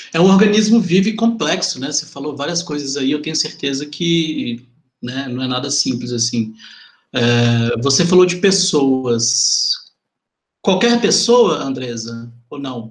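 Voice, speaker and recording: A man speaks at a fairly slow pace, his voice somewhat breathy. His intonation is lively. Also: fairly high pitch for a man. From Venda Nova, Belo Horizonte, Brazil. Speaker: podcast host. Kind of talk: interview.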